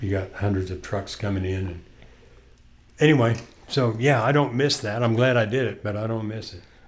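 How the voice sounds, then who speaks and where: A man of medium pitch talks at a fairly quick pace with ordinary pitch variation, leaving long, frequent pauses. Audible room echo surrounds his voice. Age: 60s. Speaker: podcast co-host. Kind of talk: casual chat.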